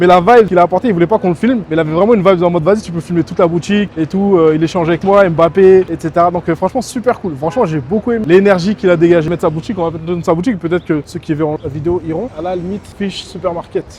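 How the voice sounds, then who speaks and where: A man talks at a very fast pace with a high pitch and ordinary pitch variation. There is noticeable background noise. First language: Soninke (speaking French). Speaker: travel and food vlogger. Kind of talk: casual vlog narration. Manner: animated.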